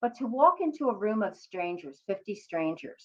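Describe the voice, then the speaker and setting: A woman speaks with a Philadelphia accent. Her pitch swings very widely. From US, Philadelphia. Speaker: career coach and psychotherapist. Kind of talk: motivational talk to camera.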